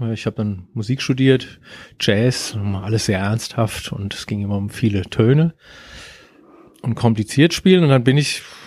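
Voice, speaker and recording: A man at a medium pitch with lively intonation and a moderate pace, on a very clean recording with a silent background. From Germany. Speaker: surf band musician and guitar teacher. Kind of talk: casual interview. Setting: studio.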